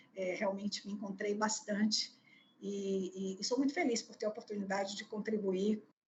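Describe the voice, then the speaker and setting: Somewhat breathy and at a moderate pace, the voice keeps fairly even intonation while its loudness swings widely. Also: woman, medium pitch for a woman. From Bahia, Brazil (Salvador). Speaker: HR executive. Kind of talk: interview. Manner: hesitant, many fillers.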